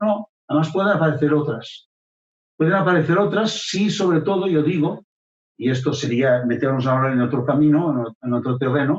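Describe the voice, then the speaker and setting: A man with a fairly high pitch speaks at a moderate pace, somewhat breathy, with ordinary pitch variation and very even loudness. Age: 70s. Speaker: local history contributor. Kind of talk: radio interview. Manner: hesitant, many fillers and repetitions.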